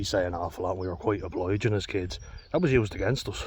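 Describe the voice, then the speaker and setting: A man's somewhat breathy voice at a very fast pace. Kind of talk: casual talk to camera. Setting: outdoors.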